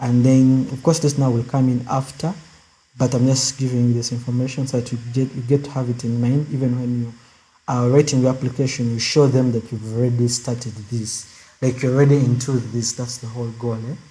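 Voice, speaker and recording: The voice is soft-spoken and somewhat breathy, with a dark, mellow tone. It moves at a fairly quick pace in monotone, flat intonation. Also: man, medium pitch for a man. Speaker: student club leader. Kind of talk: online info session. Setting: video call.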